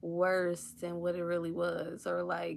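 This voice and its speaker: Her voice sits at a medium pitch. She speaks rather slowly. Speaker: psychic reader. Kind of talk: spiritual channeling reading to live viewers. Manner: casual, filler-heavy; stuttering a little.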